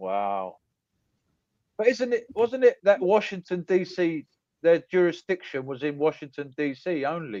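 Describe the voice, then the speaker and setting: A man's high-pitched voice with an English accent, dark and mellow in tone, at a fairly slow pace with very wide pitch swings, in a dry, close sound with no echo. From England, Greek heritage. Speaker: live stream panelist. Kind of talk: casual chat.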